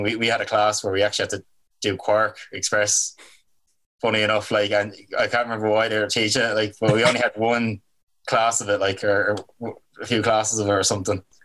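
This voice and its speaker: A man speaks in a flat monotone with a Dublin accent, his fairly low voice bright and sharp in tone, on a very clean recording with a silent background. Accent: Irish (Dublin). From Ireland, Dublin. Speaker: album cover artist. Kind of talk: casual chat.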